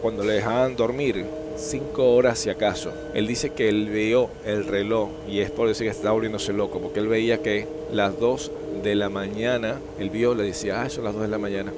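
Noticeable background noise runs under a man who speaks at a medium pitch and moderate pace with ordinary pitch variation. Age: 60s. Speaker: YouTube storyteller. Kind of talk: storytelling monologue.

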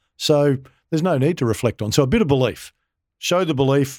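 A man with an Australian accent talks at a very fast pace, the sound dry and close with no echo in a very clean recording against a silent background. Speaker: former Olympian and football club consultant. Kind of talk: casual interview.

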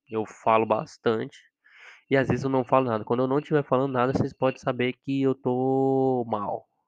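A man with an ordinary speaking voice at medium pitch and moderate pace, in a dry, close sound with no echo and a quiet background. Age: 20s. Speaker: podcast host, psychology student. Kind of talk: casual solo monologue.

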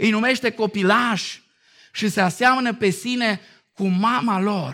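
Fairly slowly, a man delivers his words. Behind him the background is silent, and the recording is very clean. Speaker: pastor. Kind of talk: sermon. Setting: church.

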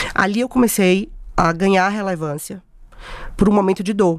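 Medium-pitched speech from a woman at a moderate pace, with ordinary pitch variation and a dry, close sound with no echo. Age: 40s. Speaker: event producer and influencer. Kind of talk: podcast interview.

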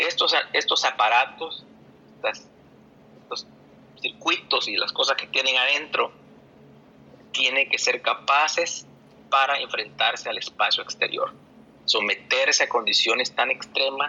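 A man speaks at a fairly slow pace with long, frequent pauses, and there is noticeable background noise. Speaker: astronomy popularizer and research methodologist. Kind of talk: online audio space discussion. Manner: halting.

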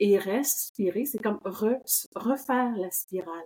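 Her tone is dark and mellow. The woman speaks at a medium pitch with ordinary variation. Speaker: somatic movement educator. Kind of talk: casual chat.

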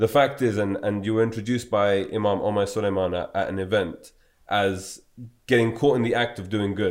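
A man speaks in an ordinary speaking voice at a fairly low pitch. His pace is fairly quick and his intonation fairly even. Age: 20s. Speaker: podcast host. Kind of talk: interview conversation.

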